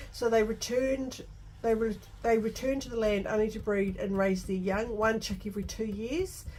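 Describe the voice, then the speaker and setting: A fairly high-pitched, somewhat breathy woman's voice with a New Zealand accent and fairly even intonation, in audible room echo. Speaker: scrapbooking content creator. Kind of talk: craft tutorial with casual narration. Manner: halting, with many restarts and fillers.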